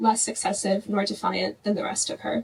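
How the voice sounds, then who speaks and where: A soft-spoken woman at a moderate pace. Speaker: grandchild giving eulogy. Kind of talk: memorial tribute speech.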